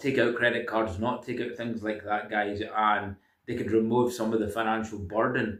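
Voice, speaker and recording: The speaker has a Scottish accent. The intonation stays monotone and flat. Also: man. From Scotland. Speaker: self-help video creator. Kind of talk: casual monologue. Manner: hesitant, many fillers.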